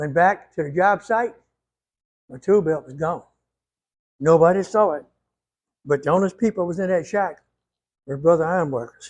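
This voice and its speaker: Pausing long and often, a man speaks with a high pitch and ordinary pitch variation. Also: moderate pace, big swings in loudness. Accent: Louisiana. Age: 80s+. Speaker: retired ironworker. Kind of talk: tutorial.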